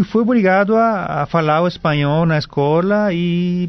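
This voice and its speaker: Speaking with a Paraguayan accent, a man uses a high pitch and ordinary pitch variation. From Paraguay, Asunción. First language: Guarani (speaking Portuguese). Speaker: Guarani language professor. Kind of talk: radio interview. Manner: halting.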